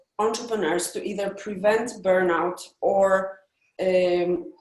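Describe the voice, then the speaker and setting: In a Polish accent, a woman of medium pitch speaks at a very slow pace with ordinary pitch variation, carrying audible room echo. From Poland. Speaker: entrepreneur coach. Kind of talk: pitch practice. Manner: halting.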